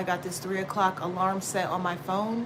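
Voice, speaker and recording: The voice has an animated tone, with audible room echo and noticeable background noise. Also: woman. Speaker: tarot reader. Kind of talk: casual tarot livestream talk. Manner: loud.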